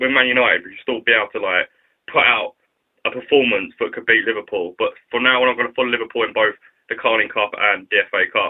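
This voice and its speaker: With a London accent, a man speaks at a very fast pace. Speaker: YouTube vlogger. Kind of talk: casual vlog commentary. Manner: casual, filler-heavy.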